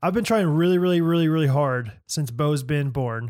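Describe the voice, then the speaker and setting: A man with an American accent talks at a fairly quick pace in a normal speaking voice, his fairly high pitch moving in lively intonation, captured dry and close with no echo on a very clean recording with a silent background. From US Midwest. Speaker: podcast co-host. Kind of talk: casual chat.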